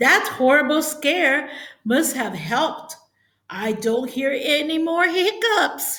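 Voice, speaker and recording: A woman uses a put-on character voice with a high pitch. Her intonation is lively. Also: fairly slow pace. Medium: read story.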